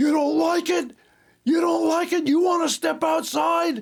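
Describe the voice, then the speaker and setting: A man shouts in a raspy, put-on character voice at an extremely high pitch. The pace is moderate. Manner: confrontational, aggressive.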